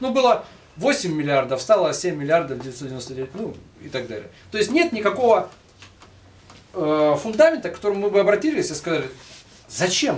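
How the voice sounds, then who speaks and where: This man talks at a fairly quick pace. His pitch swings very widely. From Russia. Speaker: lecturer, book compiler; lecturer. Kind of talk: public lecture with Q&A. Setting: bookstore event with live audience. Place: shop. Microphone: camera far.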